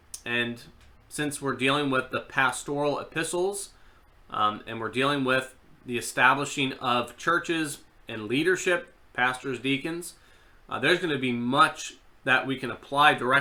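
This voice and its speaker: A man's bright, sharp tone at a moderate pace, with ordinary pitch variation and audible room echo. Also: medium pitch for a man. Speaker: seminary lecturer. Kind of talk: online class lecture. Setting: online live video class. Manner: conversational, filler words.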